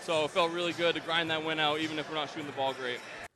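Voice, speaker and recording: At a very fast pace, a man speaks with a fairly high pitch. Noticeable background noise runs underneath. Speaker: sports broadcaster (play-by-play announcer and interviewer). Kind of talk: post-game basketball interview questions. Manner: conversational, upbeat.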